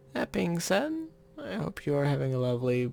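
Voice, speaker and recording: The voice is quiet. Background noise is noticeable. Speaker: YouTuber drawing maps. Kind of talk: casual drawing commentary. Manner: quiet, getting quieter.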